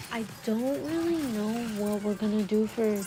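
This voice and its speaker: A soft-spoken woman whispers at a moderate pace. Background noise is noticeable. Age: 20s. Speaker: YouTuber. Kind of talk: casual vlog chat. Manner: whispery, soft-spoken.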